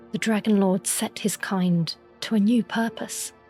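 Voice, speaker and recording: Music plays behind a woman who speaks at medium pitch and a fairly slow pace with fairly even intonation. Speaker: lore narrator. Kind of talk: sleep story. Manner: soft-spoken, slow.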